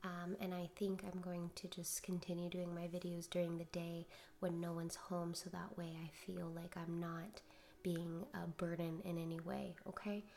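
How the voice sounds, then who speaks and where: Soft-spoken, a woman talks with a dark, mellow tone at a fairly low pitch. Her intonation is monotone and flat, and her pace is moderate. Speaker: tarot and oracle card reader. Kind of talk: spiritual card reading. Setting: home recording at night.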